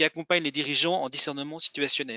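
Against a quiet background with a dry sound and no echo, a man speaks at a fairly high pitch with ordinary pitch variation. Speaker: executive education program director. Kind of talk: formal introduction. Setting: video call. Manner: halting. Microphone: video call.

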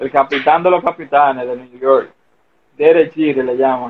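Here a man speaks at a moderate pace with a fairly high pitch. His intonation is monotone and flat. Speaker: former pro baseball player. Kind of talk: casual interview.

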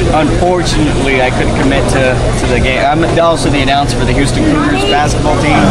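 He rushes his words at a very fast pace while loud noise fills the background. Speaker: ring announcer. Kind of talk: interview answer. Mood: friendly, relaxed. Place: hall. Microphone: handheld.

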